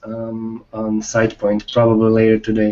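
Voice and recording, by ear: A man talks at a fairly slow pace. His tone is slightly mellow.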